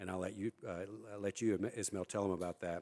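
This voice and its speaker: On a very clean recording with a silent background, this man rattles along at a very fast pace. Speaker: think tank director and panel moderator. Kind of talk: panel discussion, public remarks. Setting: live event with audience.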